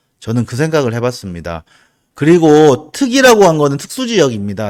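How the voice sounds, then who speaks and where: With a slight Busan accent, a man speaks with very wide pitch swings on a very clean recording with a silent background. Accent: slight Busan (Gyeongsang) dialect. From South Korea, Busan. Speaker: real estate agent. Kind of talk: video presentation on land investment. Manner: casual, frequent fillers.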